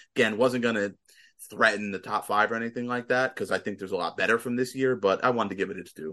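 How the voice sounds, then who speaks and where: Very fast and bright, sharp in tone, a man speaks at a fairly low pitch with ordinary pitch variation. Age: 30s. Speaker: podcast host. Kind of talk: casual chat.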